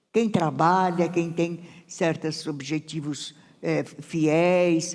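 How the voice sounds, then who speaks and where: The woman's voice sits at a fairly low pitch. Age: 90s. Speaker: retired teacher and senior blogger. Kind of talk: onstage interview. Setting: stage with audience. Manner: halting.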